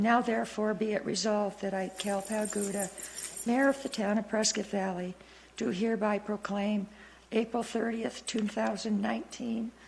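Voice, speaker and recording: A woman puts on a raspy character voice at a medium pitch, keeping fairly even intonation and a moderate pace over light background noise. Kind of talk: formal, official proclamation.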